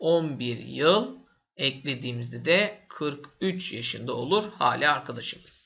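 With a bright, sharp tone and vocal fry, a man speaks in lively intonation. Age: 30s. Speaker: math teacher. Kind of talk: tutorial. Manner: casual, with fillers.

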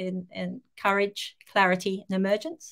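A woman talks fairly slowly with quiet surroundings. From Australia. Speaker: life coach. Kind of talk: live video interview. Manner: halting, many fillers. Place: home room.

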